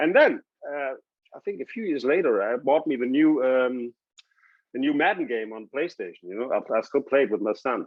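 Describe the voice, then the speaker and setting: With lively intonation, a man talks in a German accent. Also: fairly high pitch for a man, moderate pace. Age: 60s. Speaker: TV sports host and former quarterback. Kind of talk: casual interview chat.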